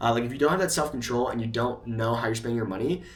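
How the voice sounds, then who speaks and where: Medium pitch and ordinary pitch variation from a male speaker, set against audible room echo. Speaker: YouTube creator. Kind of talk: casual talking-head monologue. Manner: fast; hesitant, many fillers.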